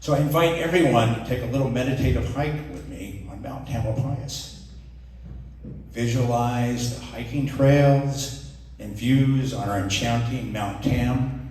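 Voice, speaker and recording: Calm tone at a fairly slow pace, with long, frequent pauses, big swings in loudness, ordinary pitch variation and noticeable background noise. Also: man. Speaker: poet. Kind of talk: introduction to a live audience. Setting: live event with audience. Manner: calm, meditative.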